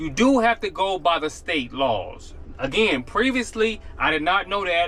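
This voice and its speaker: Noticeable background noise runs under this recording. A man speaks with lively intonation. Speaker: gig delivery driver vlogger. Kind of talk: casual vlog talk to camera. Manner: normally fast-talking.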